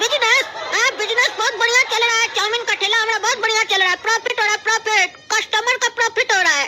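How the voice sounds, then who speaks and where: A cartoonish character voice at an extremely high pitch and a very fast pace. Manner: cocky, mocking.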